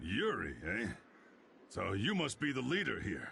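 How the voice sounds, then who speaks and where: A man does a put-on character voice, raspy and medium in pitch, with very wide pitch swings over clear background noise. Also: moderate pace. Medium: video game. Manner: gruff, folksy.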